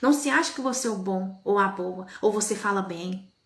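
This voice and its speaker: Amid audible room echo, a woman talks at a moderate pace in an animated tone with lively intonation. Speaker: evangelical preacher. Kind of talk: live-stream sermon.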